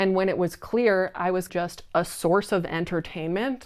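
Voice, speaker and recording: The speaker is a woman with a medium pitch. Her recording is very clean, with a silent background. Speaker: cult survivor. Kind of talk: personal story told to camera. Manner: slow.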